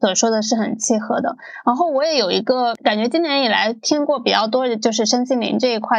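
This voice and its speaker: A woman's high-pitched voice, fairly quick in pace, with ordinary pitch variation. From Guangdong. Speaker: podcast host. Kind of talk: podcast interview.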